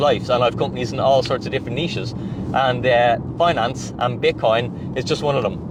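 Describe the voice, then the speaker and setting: A man with an Irish accent at a medium pitch, talking very fast over noticeable background noise. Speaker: finance and crypto YouTuber. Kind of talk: direct-to-camera monologue. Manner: animated.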